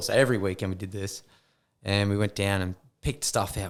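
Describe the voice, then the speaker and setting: A man with an Australian accent and a fairly low pitch at a fairly quick pace, on a very clean recording with a silent background. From Queensland, Australia. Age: 30s. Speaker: former mining worker and business owner. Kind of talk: casual chat. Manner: animated.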